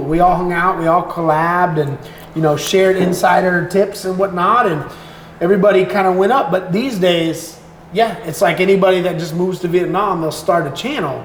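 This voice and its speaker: The speaker has an American accent and a moderate pace, with audible room echo and noticeable background noise. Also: man. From Florida, US. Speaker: content creator. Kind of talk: casual chat.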